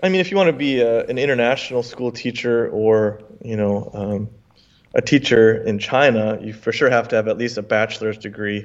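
With an American accent, a man in an unremarkable speaking voice talks at medium pitch with ordinary pitch variation. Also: fairly quick pace. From US. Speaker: English teacher and content creator. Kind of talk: casual interview chat.

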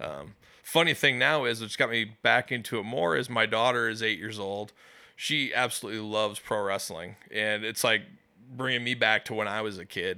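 A man's bright, sharp, fairly low-pitched voice in a Midwestern American accent, at a moderate pace with ordinary pitch variation, on a very clean recording with a silent background. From US Midwest, West Des Moines, Iowa. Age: 30s. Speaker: pizza reviewer. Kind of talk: casual chat.

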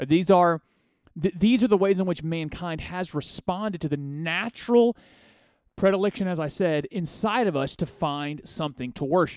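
A man speaks in a high voice at a moderate pace with ordinary pitch variation. The sound is dry and close with no echo, on a very clean recording with a silent background. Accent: American. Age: 30s. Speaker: radio host. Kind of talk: political commentary monologue.

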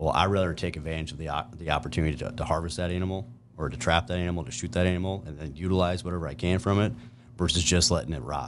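With a Midwestern American accent, a man speaks very fast in a very deep, low voice with vocal fry and ordinary pitch variation. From US Midwest, eastern Nebraska. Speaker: outdoor gear product developer and trapper. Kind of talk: casual interview.

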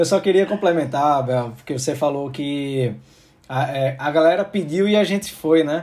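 A man speaks in an unremarkable speaking voice at a fairly high pitch and a fairly slow pace. His pitch varies in an ordinary way, and the recording is very clean with a silent background. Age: 30s. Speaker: podcast host. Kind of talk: casual chat.

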